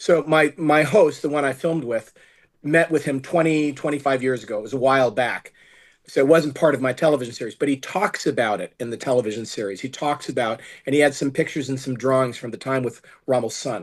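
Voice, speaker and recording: A man talks very fast with an American accent at a medium pitch. His pitch varies in an ordinary way over a quiet background. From United States. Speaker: film producer and director. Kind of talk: interview. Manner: halting.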